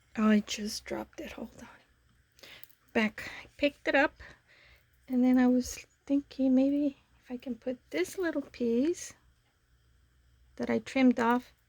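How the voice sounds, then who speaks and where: A soft-spoken woman with a high voice talks at a fairly slow pace with long, frequent pauses, in a dry, close sound with no echo. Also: ordinary pitch variation. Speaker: papercraft YouTuber. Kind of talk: crafting tutorial. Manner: casual, hesitant with fillers.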